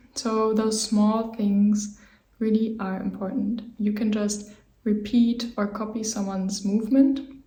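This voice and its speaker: In a room with audible echo and noticeable background noise, a woman with a fairly high pitch speaks at a fairly slow pace in a monotone, flat intonation. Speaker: movement teacher. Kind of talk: tutorial. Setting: home office.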